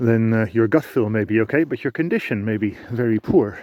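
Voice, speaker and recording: With a non-native accent, a man speaks at a moderate pace and a medium pitch. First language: not English. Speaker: sheep farmer. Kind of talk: tutorial. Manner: halting.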